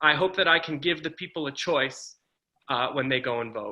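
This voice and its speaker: Speaking at a moderate pace, a man talks with a Northeastern US accent. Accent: American (Northeast). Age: 30s. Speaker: political candidate. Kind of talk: campaign speech.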